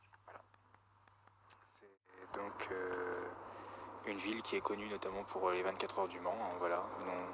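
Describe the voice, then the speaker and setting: A man speaks in a very deep, low voice with flat, monotone intonation at a fairly slow pace, leaving long, frequent pauses and swinging widely in loudness. Noticeable background noise and audible room echo fill the recording. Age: 20s. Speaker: weather enthusiast YouTuber. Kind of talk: interview. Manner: hesitant, many fillers.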